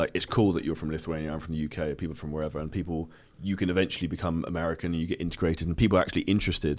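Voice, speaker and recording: A man with a British accent speaks at a very fast pace with hardly any pauses, his pitch very deep and low. His intonation stays fairly even in a very clean recording with a silent background. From southern England. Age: 30s. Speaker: entrepreneur and fitness coach. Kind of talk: podcast interview.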